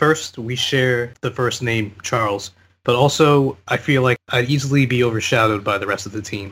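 Heard on a very clean recording with a silent background, a man talks at a moderate pace and medium pitch with fairly even intonation. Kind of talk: casual group chat.

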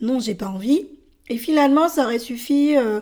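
A woman speaks with a high pitch at a moderate pace. Her pitch variation is ordinary. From France. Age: 30s. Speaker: podcaster. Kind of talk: personal monologue. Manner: hesitant, with many fillers.

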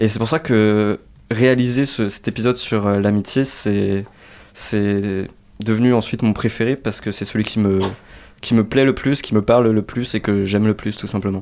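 In a very clean recording with a silent background, a man with an ordinary speaking voice and fairly low pitch talks fairly slowly with fairly even intonation. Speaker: student podcaster. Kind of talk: radio interview.

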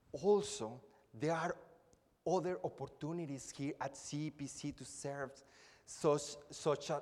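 A speaker with a Spanish accent uses lively intonation at a very slow pace. The recording is very clean, with a silent background. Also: man. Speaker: preacher. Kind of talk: sermon. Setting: church. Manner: formal.

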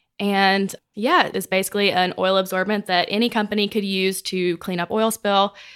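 A woman speaks at a moderate pace and medium pitch with a Mississippi accent. The recording is very clean, with a silent background. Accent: US Southern (Mississippi). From Mississippi (small town). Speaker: business development director. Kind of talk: casual interview chat. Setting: office.

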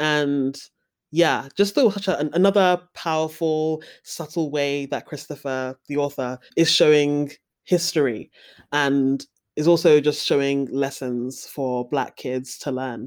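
A woman with a London accent speaks at a fairly slow pace in a very deep, low pitch. Her intonation is fairly even, and the recording is very clean with a silent background. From London, England. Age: 20s. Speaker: young adult novelist. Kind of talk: casual chat.

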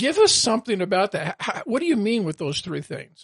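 A man's voice sounds dry and close with no echo, over a quiet background. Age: 70s. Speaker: podcast host. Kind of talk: interview.

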